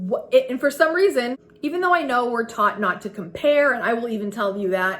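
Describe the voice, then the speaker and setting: This loud woman sounds animated, with a high pitch and very wide swings in it. She talks at a fairly quick pace. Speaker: frugal living and homemaking vlogger. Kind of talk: casual vlog talk to camera. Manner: loud and animated.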